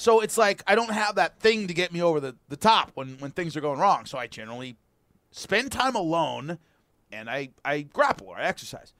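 At a fairly quick pace, the animated voice makes very wide pitch swings and big swings in loudness, with a dry, close sound and no echo. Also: man, high pitch for a man. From rural area. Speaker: MMA radio host. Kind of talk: casual chat.

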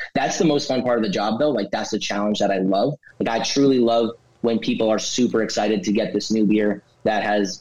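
With a New Jersey accent, a man talks fairly quickly in a fairly low voice. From northern New Jersey. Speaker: brewery founder. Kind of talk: interview. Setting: studio.

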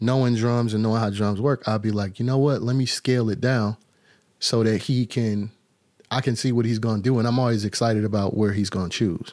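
With an American accent and an ordinary speaking voice, a man talks at a fairly quick pace in a medium pitch, his intonation fairly even and his loudness very even. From Detroit and North Carolina. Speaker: hip-hop producer and rapper. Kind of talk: casual interview. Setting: remote link from Detroit.

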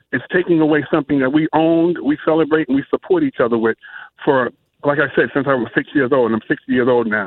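At a very fast pace, a man with a fairly high pitch talks with ordinary pitch variation. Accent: American. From Massachusetts. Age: 60s. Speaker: radio caller. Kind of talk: call-in comment.

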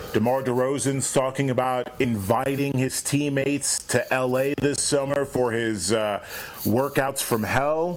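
Over noticeable background noise, a man talks in a fairly high pitch with fairly even intonation. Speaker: sports commentator. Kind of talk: casual sports chat.

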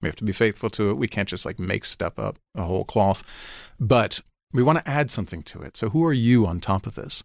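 On a very clean recording with a silent background and a dry, close sound with no echo, a man with an American accent speaks at a fairly quick pace with a fairly low pitch, vocal fry and lively intonation. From New York City, Manhattan. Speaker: audiobook narrator and actor. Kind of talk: casual interview. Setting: studio.

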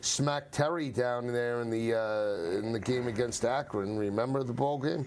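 With an ordinary speaking voice, a man of medium pitch talks at a moderate pace with ordinary pitch variation and hardly any pauses. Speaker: radio host and college football analyst. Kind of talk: live sports banter.

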